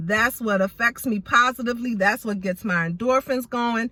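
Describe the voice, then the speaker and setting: A woman's loud voice with a bright, sharp tone and ordinary pitch variation, dry and close with no echo. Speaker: beauty vlogger. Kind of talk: casual vlog monologue. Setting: in a car.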